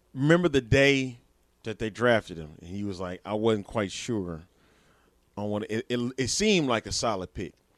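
Delivered at a moderate pace in an unremarkable speaking voice, the speech has lively intonation and big swings in loudness, recorded dry and close with no echo against a quiet background. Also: man, medium pitch for a man. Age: 30s. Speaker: sports podcast co-host. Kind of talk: casual chat.

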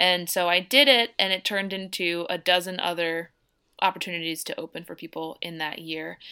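On a very clean recording with a silent background, the speaker has a bright, sharp tone, a fairly quick pace, ordinary pitch variation and big swings in loudness. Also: woman, fairly low pitch for a woman. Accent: American. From US Northeast, outside Philadelphia. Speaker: singer-songwriter. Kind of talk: casual interview.

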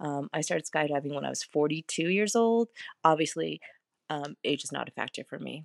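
A woman with a very deep, low voice speaks at a fairly quick pace with ordinary pitch variation and big swings in loudness, in a dry, close sound with no echo. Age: 40s. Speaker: podcast host. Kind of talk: casual monologue.

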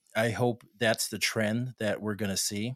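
A man with an American accent has a plain, everyday voice, fairly low in pitch. He talks at a moderate pace on a very clean recording with a silent background. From Texas, El Paso. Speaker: tech executive. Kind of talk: interview. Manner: casual, with frequent fillers.

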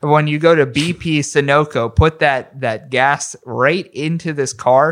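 In a very clean recording with a silent background, a man with a fairly high pitch and an American accent speaks at a fairly slow pace in an ordinary speaking voice. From western Pennsylvania, McKeesport near Pittsburgh. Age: 30s. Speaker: podcaster. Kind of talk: casual chat.

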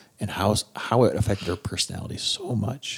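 In an Upper Midwest accent, a man speaks with a fairly low pitch at a moderate pace. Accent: Upper Midwest American. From South Dakota. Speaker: spouse sharing recovery story. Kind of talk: testimony.

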